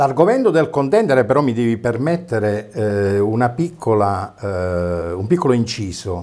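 A man with a dark, mellow tone speaks at a fairly slow pace, his intonation lively. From Basilicata, Italy. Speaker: opposition town councillor, former regional councillor. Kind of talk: TV interview. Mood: indignant, polemical. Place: studio. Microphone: lapel.

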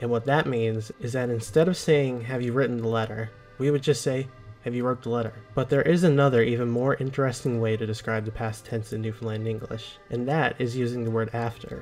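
Against background music, a man speaks at a fairly quick pace and medium pitch with fairly even intonation. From Newfoundland, Canada. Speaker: educational video narrator. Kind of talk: educational explainer narration.

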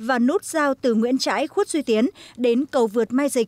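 The speech comes at a fairly slow pace with a dry, close sound and no echo. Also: woman. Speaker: news reporter. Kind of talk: scripted news voiceover. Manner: formal.

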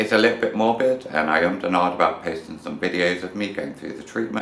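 A man with a British accent. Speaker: vlogger. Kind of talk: personal testimony.

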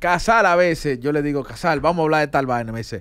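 A man's fairly high, clear, smooth voice with a fairly bright tone, ordinary pitch variation and a fairly quick pace

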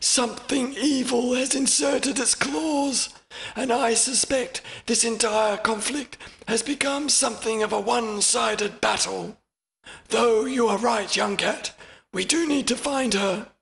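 Pitched extremely high, a man does a put-on character voice at a moderate pace. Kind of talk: audiobook character reading. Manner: formal, measured, grave.

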